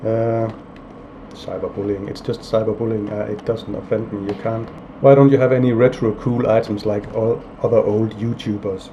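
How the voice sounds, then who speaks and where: A man's medium-pitched, monotone voice with flat intonation at a moderate pace, over noticeable background noise. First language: not English (English is third or later language). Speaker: indie game developer, YouTuber. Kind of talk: casual vlog, answering viewer comments. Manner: flat, low-energy delivery; hesitant, many fillers.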